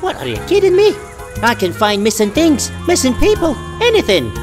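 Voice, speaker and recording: Someone speaks in a put-on character voice at a moderate pace. Music plays clearly in the background. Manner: chatty, cheerful.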